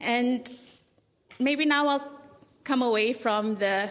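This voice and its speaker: A woman with a Fijian accent talks at a high pitch with ordinary pitch variation. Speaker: writer and small publisher. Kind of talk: festival panel talk.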